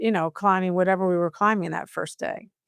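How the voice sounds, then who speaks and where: An animated woman's voice with an American accent and medium pitch, dry and close with no echo, in a very clean recording with a silent background. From US Southwest, New Mexico. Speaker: corporate culture executive. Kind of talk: podcast interview.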